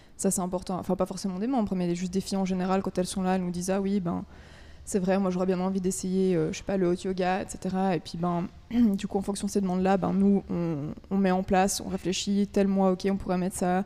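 Medium pitch from a woman, a dark, mellow tone and monotone, flat intonation. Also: fairly quick pace. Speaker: university student, association committee member. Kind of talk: casual interview.

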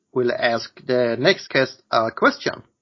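A man speaks with a Swedish accent at a very slow pace. His intonation is lively. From Sweden. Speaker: podcast host. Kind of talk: interview.

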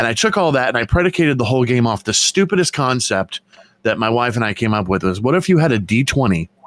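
With lively intonation and a fairly quick pace, a man talks at a medium pitch in an unremarkable speaking voice, the sound dry and close with no echo. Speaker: artist and convention vendor. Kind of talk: casual chat.

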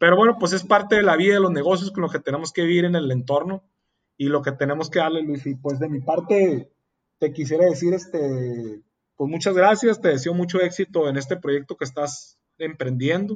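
A man keeps a moderate pace, his fairly high pitch varying in an ordinary way. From Mexicali, Baja California, Mexico. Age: 30s. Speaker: entrepreneur. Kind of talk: casual interview chat. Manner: hesitant with frequent fillers.

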